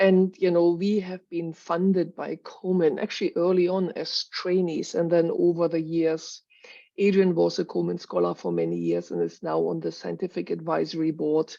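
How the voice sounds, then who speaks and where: Someone talks with a German accent over a quiet background. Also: woman, moderate pace. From Germany, Berlin. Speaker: cancer research professor. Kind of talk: scientific presentation.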